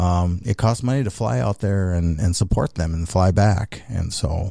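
A man's very deep, low, somewhat breathy voice with a dark, mellow tone and ordinary pitch variation. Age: 60s. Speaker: racing series founder. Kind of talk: interview. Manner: halting.

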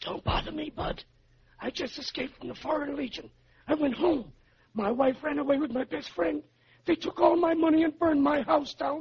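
In a put-on character voice, a man talks hoarsely at a fairly quick pace with an extremely high pitch. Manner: gruff, bitter, dismissive.

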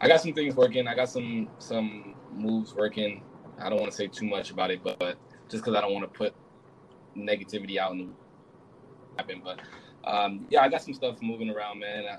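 A man speaks at a fairly quick pace in a fairly low voice with ordinary pitch variation. Long, frequent pauses break up his speech, and there is noticeable background noise. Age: 20s. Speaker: streamer. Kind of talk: casual chat.

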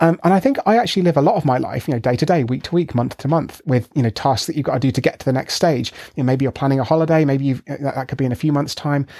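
A man talks very fast in a British accent. His tone is dark and mellow, with a fairly high pitch. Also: ordinary pitch variation. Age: 30s. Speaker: scientist and author. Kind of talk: interview.

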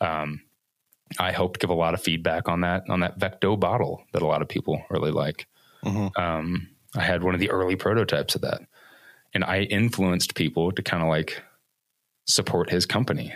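A man with an American accent speaks in a very deep, low pitch with fairly even intonation, very even loudness, and long, frequent pauses, on a very clean recording with a silent background. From US Midwest, Evansville, Indiana. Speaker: filmmaker and hiker. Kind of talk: casual interview conversation.

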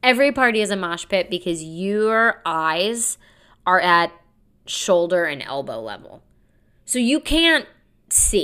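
On a very clean recording with a silent background, a woman speaks loudly at a medium pitch and a fairly slow pace, with long, frequent pauses. Her pitch swings very widely in an animated, bright, sharp tone. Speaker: comedian and podcast host. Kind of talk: solo monologue podcast.

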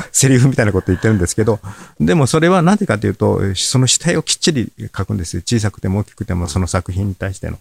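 Dry and close with no echo, a man speaks at a fairly low pitch with lively intonation. His delivery is very fast and somewhat breathy, with big swings in loudness. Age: 70s. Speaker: paper-cut artist. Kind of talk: casual interview chat.

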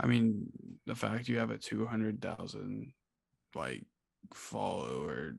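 A man speaks fairly slowly in a very deep, low voice with vocal fry. The recording is very clean, with a silent background. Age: young. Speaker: college student, guest. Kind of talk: casual chat.

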